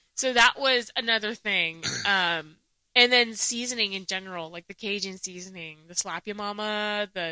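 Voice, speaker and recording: Using an American accent, a woman speaks at a fairly slow pace and medium pitch, her bright, sharp tone showing ordinary pitch variation. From US, Palestinian-Mexican family; early years in Saudi Arabia and Jordan. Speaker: podcast co-host. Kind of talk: casual chat.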